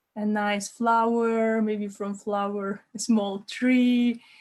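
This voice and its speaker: This speaker talks at a very slow pace in a Lithuanian accent, somewhat breathy. The intonation is monotone and flat. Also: woman. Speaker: life coach. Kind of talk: online workshop. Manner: halting, many repeated words.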